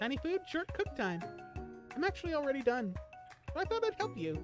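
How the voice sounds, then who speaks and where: A woman's put-on character voice, high-pitched and fairly quick, over clear background music. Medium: game stream. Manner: sweet, eager.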